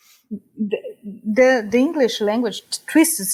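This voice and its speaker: A woman with a Brazilian accent speaks at a very slow pace. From Brazil, Rio de Janeiro (West zone). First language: Portuguese. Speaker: psychologist. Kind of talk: interview conversation. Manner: halting, repeats words.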